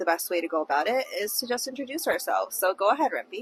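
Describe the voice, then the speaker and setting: A woman's high-pitched voice moves through very wide pitch swings, with a dry, close sound and no echo. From Ontario, Canada (Brampton). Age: 20s. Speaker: podcast co-host. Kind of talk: casual chat. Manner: animated.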